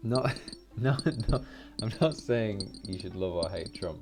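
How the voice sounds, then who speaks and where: With a strong British accent and a relaxed tone, a man speaks very slowly with lively intonation while music plays in the background. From Britain. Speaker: gaming YouTuber. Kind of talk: casual gameplay commentary.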